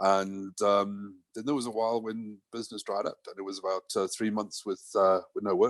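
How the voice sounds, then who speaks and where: A man's fairly low voice at a moderate pace, monotone and flat, with hardly any pauses and a dry, close sound with no echo. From South Africa. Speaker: camera company product manager. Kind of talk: casual interview chat. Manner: hesitant, many fillers.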